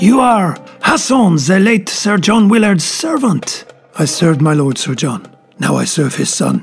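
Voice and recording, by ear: A man's put-on character voice, high-pitched with vocal fry and lively intonation, at a fairly slow pace over faint music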